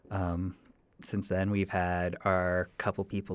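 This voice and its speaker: A man's very deep, low voice in a Canadian accent, on a very clean recording with a silent background. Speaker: podcast host, college student. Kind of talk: solo podcast monologue, casual. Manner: halting, casual with fillers.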